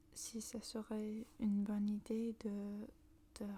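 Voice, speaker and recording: A soft-spoken woman talks at a very slow pace, her dark, mellow tone somewhat breathy and her intonation monotone and flat. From northern England, Manchester. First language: English (speaking French). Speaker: ASMR creator. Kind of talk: casual ASMR talk. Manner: halting.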